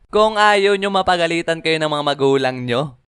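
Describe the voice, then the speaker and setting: A man speaks in a bright, sharp tone with lively intonation. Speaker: animated story narrator. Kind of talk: storytelling. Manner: casual.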